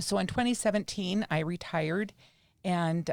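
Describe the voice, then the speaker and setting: With an American accent, a woman uses an ordinary speaking voice at a fairly low pitch, with ordinary pitch variation and a fairly slow pace. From Utah (Salt Lake City, west side). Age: 60s. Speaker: retired spiritual class teacher. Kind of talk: interview, personal story.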